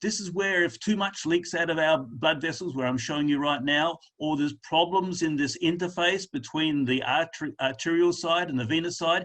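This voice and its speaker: At a moderate pace, a high-pitched man with an Australian accent against a quiet background. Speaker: lymphedema specialist presenter. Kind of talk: webinar presentation.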